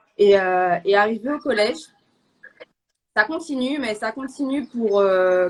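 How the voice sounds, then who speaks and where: A woman with a fairly high pitch talks at a very slow pace, her pitch showing ordinary variation. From Martinique. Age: 20s. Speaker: guest sharing faith testimony. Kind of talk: testimony. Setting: live online show. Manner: halting, many hesitations.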